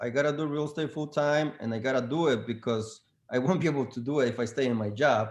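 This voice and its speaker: The speaker has a non-native accent and a fairly quick pace. Pitch varies in an ordinary way. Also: man. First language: not English. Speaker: real estate agent. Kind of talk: panel discussion. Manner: halting, many fillers.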